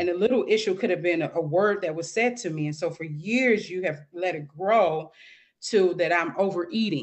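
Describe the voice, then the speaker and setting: In an ordinary speaking voice with an American accent, a woman speaks at a moderate pace, fairly low in pitch, with ordinary pitch variation. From St. Louis, Missouri, US Midwest. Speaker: author and mentor for single moms. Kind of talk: interview testimony.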